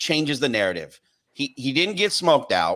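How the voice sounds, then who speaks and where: A man's bright, sharp voice with an American accent, fairly high pitch, very wide pitch swings and vocal fry, at a moderate pace in a very clean recording with a silent background. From US Pacific Northwest. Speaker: podcast host. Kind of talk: heated debate.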